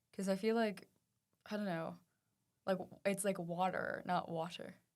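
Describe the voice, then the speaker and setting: The speaker has an American accent and keeps a moderate pace. The intonation stays monotone and flat. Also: woman, medium pitch for a woman. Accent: British with some American-sounding T sounds. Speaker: podcast co-host. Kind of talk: casual chat.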